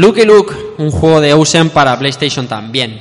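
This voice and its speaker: Noticeable background noise sits behind a man with a fairly high pitch who speaks at a moderate pace with ordinary pitch variation. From Spain, Elche (Valencian Community). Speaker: podcast host. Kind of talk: live panel discussion before an audience. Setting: live event at a school with audience.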